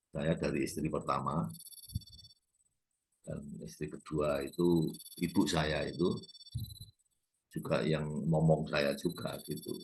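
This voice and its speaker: At a very slow pace, a man with a very deep, low pitch speaks through vocal fry, with fairly even intonation and long, frequent pauses. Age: 70s. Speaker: YouTube lecturer on culture and politics. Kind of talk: informal lecture. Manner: halting, with fillers.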